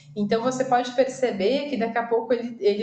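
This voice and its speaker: The speaker uses fairly even intonation, and audible room echo surrounds the voice. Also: woman. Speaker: online course instructor in recruitment. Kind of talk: recorded lecture with slides. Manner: many filler hesitations.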